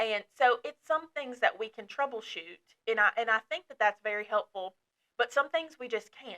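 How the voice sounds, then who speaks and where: A woman with an American accent speaks at a moderate pace, her pitch fairly high and her tone bright and sharp. Her intonation is lively, her loudness swings widely, and the sound is dry and close with no echo. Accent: Southern US accent, stronger when passionate. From northern Kentucky (Dry Ridge). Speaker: outreach counselor. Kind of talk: podcast discussion. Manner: animated, passionate.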